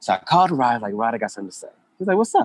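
With an American accent, a man speaks in a dry, close sound with no echo. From Oklahoma, US. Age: 30s. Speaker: entrepreneur and coach. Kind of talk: interview. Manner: animated.

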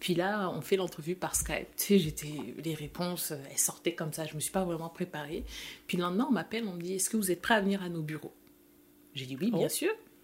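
Somewhat breathy, a woman talks at a fairly quick pace. Her pitch is fairly low, with ordinary variation. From France, with Senegalese family. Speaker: chemical engineer, immigrant. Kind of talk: interview conversation.

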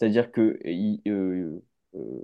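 The background is quiet while a man talks with fairly even intonation. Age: 20s. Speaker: film director. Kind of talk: casual chat.

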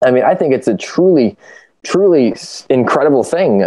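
This man has a Midwestern American accent and talks at a fairly quick pace. His pitch swings very widely. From US Midwest, Ohio. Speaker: youth nonprofit team member, educator. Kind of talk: casual chat.

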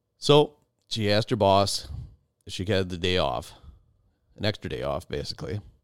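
A man talks at a fairly quick pace in a fairly low voice with vocal fry. His intonation is lively, broken by long, frequent pauses. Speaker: outdoors podcast host. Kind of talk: storytelling. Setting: home basement podcast room.

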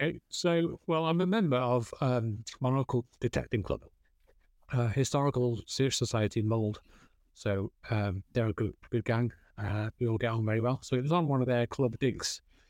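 The recording is very clean with a silent background and a dry, close sound with no echo, and the pitch varies in an ordinary way. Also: man, medium pitch for a man, moderate pace, very even loudness. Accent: North Wales. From North Wales, Flintshire. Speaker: metal detectorist. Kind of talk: interview chat.

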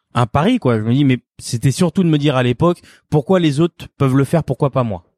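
A fairly high-pitched man speaks at a moderate pace with ordinary pitch variation, the sound dry and close with no echo in a very clean recording with a silent background. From France. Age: 30s. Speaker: chef. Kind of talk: interview testimony. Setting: his restaurant. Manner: halting, many repetitions and fillers.

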